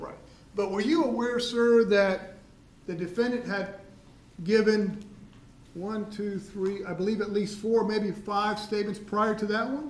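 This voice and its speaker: Loud and fairly slow, a man speaks at high pitch with long, frequent pauses, audible room echo and noticeable background noise. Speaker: prosecutor. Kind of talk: courtroom cross-examination. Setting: courtroom.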